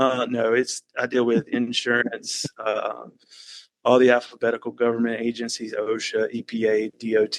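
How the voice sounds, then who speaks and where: With a slight Southern US accent, a man speaks at a moderate pace and medium pitch, monotone and flat, in a dry, close sound with no echo. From Alabama, US South. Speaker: risk management worker, podcast guest. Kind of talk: casual chat.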